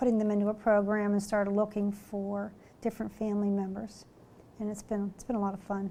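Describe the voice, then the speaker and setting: A woman of medium pitch speaks in a dark, mellow tone with an American accent. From western Pennsylvania, US. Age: 50s. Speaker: retired school psychologist. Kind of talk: oral history interview. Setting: conference room.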